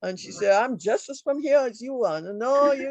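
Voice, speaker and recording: A woman with a Trinidadian accent, fairly high-pitched, at a moderate pace. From Trinidad and Tobago. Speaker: author. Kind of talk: book discussion. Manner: halting.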